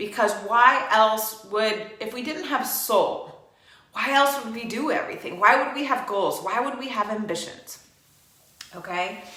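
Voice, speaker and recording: At a fairly slow pace, an energetic woman speaks with a fairly high pitch, ordinary pitch variation and big swings in loudness, amid noticeable background noise and audible room echo. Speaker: yoga teacher. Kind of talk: guided yoga class.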